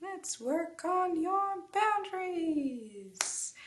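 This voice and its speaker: Squeaky and extremely high-pitched, the put-on character voice carries the whole clip. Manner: cheery, showy announcer delivery.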